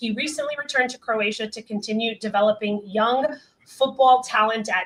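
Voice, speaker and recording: Fairly high in pitch with ordinary pitch variation, this woman has an unremarkable speaking voice. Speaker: live show host. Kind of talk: prepared guest introduction; live interview.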